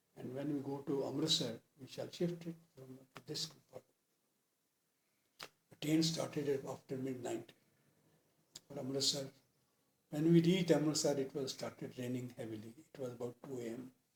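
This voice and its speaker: With long, frequent pauses, a man speaks in a somewhat breathy voice. His loudness swings in a big way. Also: fairly even intonation, moderate pace. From Punjab. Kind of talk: interview answer.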